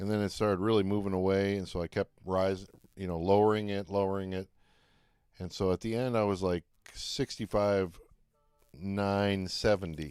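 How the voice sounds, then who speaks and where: A man with an American accent. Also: very clean recording, silent background. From Detroit, Michigan, US. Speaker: live-streaming trader and recording artist. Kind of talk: live stream chat while trading.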